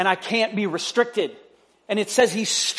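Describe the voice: Plain reading aloud with fairly even intonation is heard here.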